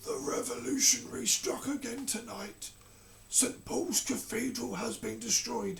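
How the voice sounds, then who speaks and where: A raspy put-on character voice from a man at a moderate pace, with clear background noise. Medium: read story. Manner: slow, soft.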